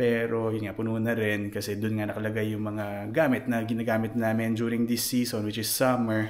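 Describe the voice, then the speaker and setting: The room echo is audible. The speaker is a man. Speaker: vlogger. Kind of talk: casual vlog. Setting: basement at home. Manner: soft-spoken.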